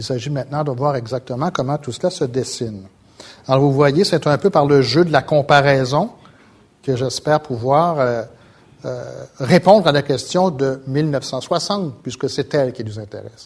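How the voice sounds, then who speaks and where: At a fairly slow pace with long, frequent pauses, a man speaks in a somewhat breathy voice of fairly high pitch and ordinary pitch variation. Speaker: sociology professor. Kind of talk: lecture. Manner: halting.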